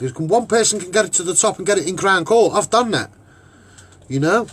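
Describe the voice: This man talks with a Liverpool accent at a fairly quick pace and a high pitch. His fairly bright tone carries a slightly husky edge and lively intonation. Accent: Liverpool Scouse.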